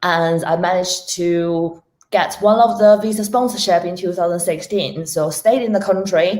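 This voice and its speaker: In a Chinese accent, a woman speaks at a fairly low pitch with ordinary pitch variation. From China. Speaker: technology risk professional. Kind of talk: interview.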